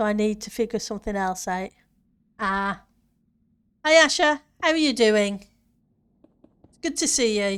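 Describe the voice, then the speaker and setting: In a northern English accent, a woman talks at a moderate pace with lively intonation, big swings in loudness, and long, frequent pauses. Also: fairly high pitch for a woman, very clean recording, silent background. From northern England, near Yorkshire border. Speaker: gaming streamer. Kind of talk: casual live-stream chat.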